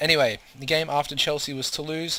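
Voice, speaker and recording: Speaking at a fairly quick pace, a man with an Australian accent has a fairly high pitch. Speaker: video game commentator. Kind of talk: gameplay commentary. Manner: fast; hesitant, many fillers.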